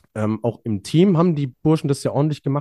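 A man speaks in a dark, mellow tone. The very clean recording has a silent background and a dry, close sound with no echo. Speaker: ski jumping podcast co-host. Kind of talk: casual chat.

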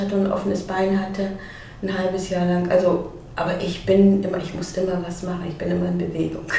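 A woman talks at a medium pitch with monotone, flat intonation. Audible room echo and noticeable background noise fill the recording. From East Germany. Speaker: blind children's author. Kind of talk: casual interview.

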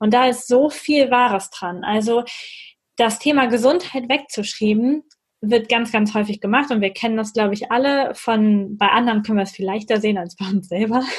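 Fairly high in pitch and somewhat breathy, a woman speaks at a moderate pace with ordinary pitch variation. The recording is very clean with a silent background. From northern North Rhine-Westphalia, Germany. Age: 30s. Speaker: physiotherapist. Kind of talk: interview.

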